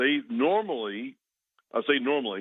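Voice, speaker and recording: The man's speech shows ordinary pitch variation. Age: 60s. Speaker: oil and gas executive. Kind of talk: radio interview. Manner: halting.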